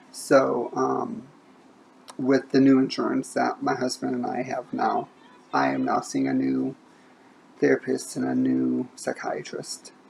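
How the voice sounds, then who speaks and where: Over noticeable background noise, a woman with an American accent talks at a fairly slow pace with long, frequent pauses. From Indiana. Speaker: book vlogger. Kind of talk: casual monologue. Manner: halting, stumbles over words.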